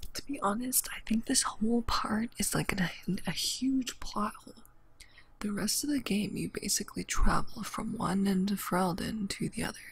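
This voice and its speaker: This soft-spoken voice moves at a moderate pace. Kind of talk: soft-spoken gameplay commentary.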